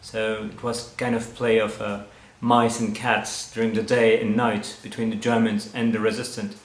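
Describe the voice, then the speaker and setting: A man with a French accent at medium pitch and moderate pace, his intonation monotone and flat, amid noticeable background noise and audible room echo. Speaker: winemaker. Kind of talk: interview. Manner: halting.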